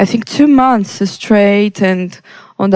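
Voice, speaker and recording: Using a medium pitch and fairly even intonation, a woman speaks at a fairly slow pace in a Brazilian Portuguese accent. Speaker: electronic music producer. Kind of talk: interview. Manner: halting, many fillers.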